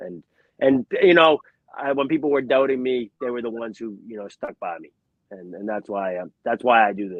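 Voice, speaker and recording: A man's medium-pitched voice moves at a moderate pace with lively intonation and big swings in loudness. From Boston area, New England. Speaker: professional boxer. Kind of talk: interview. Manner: halting.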